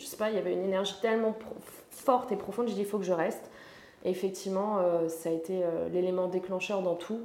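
Against noticeable background noise and audible room echo, a woman speaks at a medium pitch with fairly even intonation. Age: 20s. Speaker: personal development coach. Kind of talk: casual chat.

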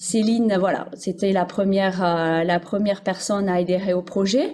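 A woman speaks at a fairly slow pace and a medium pitch. She has a plain, everyday voice. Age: 40s. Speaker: primary school teacher. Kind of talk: casual interview.

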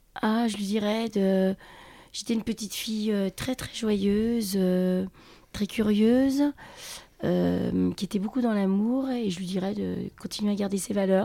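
In a dark, mellow tone, the speaker goes at a fairly slow pace with fairly even intonation and long, frequent pauses. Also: woman, medium pitch for a woman. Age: 50s. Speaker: bar owner. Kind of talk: interview.

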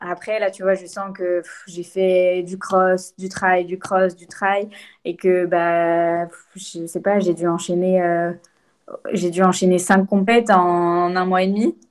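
Over a quiet background, a woman speaks very slowly at a medium pitch with monotone, flat intonation and big swings in loudness. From France, Lyon. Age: 20s. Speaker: trail runner and law student. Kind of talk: interview. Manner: hesitant, many fillers.

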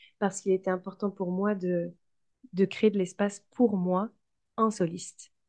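A woman's medium-pitched voice, dark and mellow in tone, monotone and flat, at a fairly slow pace. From France. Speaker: entrepreneur and singer-songwriter. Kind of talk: interview.

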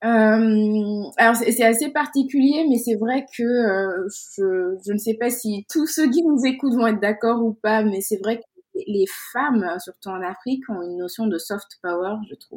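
A woman with a fairly high pitch speaks at a fairly slow pace, using ordinary pitch variation. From Senegal (Dakar). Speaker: insurance consultant and women's network founder. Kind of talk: interview. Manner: hesitant, many repetitions.

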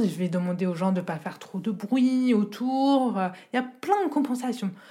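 At a moderate pace, the speaker uses an ordinary speaking voice with lively intonation. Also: woman. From France, rural village. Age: 30s. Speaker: deaf accessibility advisor. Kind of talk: testimony. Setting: home recording.

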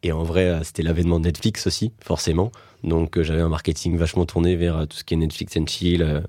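A man with a very deep, low pitch and a dark, mellow tone speaks at a fairly slow pace in a monotone, flat intonation. The recording is very clean, with a silent background. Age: 20s. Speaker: startup co-founder. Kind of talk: casual interview.

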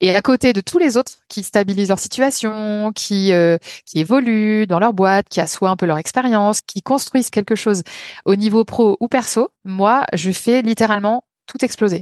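A woman with a fairly high pitch and a normal speaking voice talks at a moderate pace with ordinary pitch variation. The sound is dry and close with no echo, over a quiet background. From France, Lyon. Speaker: photographer. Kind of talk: podcast interview.

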